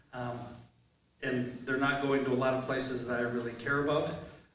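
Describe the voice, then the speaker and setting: Over noticeable background noise and audible room echo, a man speaks. His medium-pitched voice has monotone, flat intonation. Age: 60s. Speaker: mayoral candidate, Air Force veteran. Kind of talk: candidate forum introduction.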